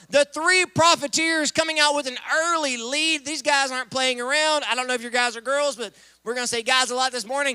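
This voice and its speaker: An animated man with an American accent speaks in a raised, projected voice at an extremely high pitch and a fairly quick pace. The sound is dry and close, with no echo. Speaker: event emcee. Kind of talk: live commentary. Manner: loud.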